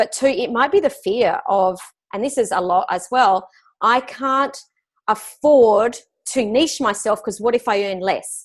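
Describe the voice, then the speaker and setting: A woman's fairly high voice with lively intonation, at a fairly slow pace against a quiet background. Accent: Australian. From Australia. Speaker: business coach. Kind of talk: interview.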